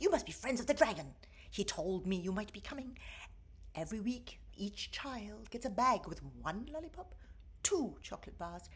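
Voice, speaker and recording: A female-sounding voice mumbles at a fairly high pitch and a moderate pace. It is a put-on character voice. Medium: read story. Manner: frantic, mumbling.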